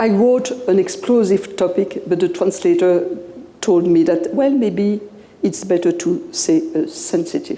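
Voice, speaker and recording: With a Belgian French accent and very wide pitch swings, a woman speaks amid noticeable background noise and audible room echo. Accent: persistent Belgian French. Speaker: professor. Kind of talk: lecture. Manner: halting.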